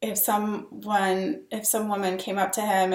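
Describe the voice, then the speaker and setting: With a medium pitch, a woman speaks in a monotone, flat intonation. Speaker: dating coach. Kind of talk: casual vlog talk to camera. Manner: hesitant, many fillers.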